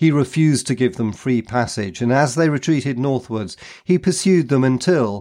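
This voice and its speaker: Against a quiet background, a man with a dark, mellow tone speaks in a dramatic tone with lively intonation, the sound dry and close with no echo. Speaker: podcast host and history narrator. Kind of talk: history documentary narration, scripted and read aloud. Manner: measured, formal storyteller's delivery, steady pace, dramatic emphasis on battles.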